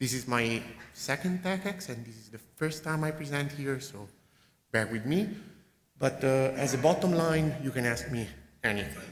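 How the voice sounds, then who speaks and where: A man speaks at a moderate pace in a fairly high pitch with lively intonation. His loudness swings widely, and room echo is audible. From Italy, Pisa. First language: Italian. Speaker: network engineer presenting. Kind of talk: conference talk.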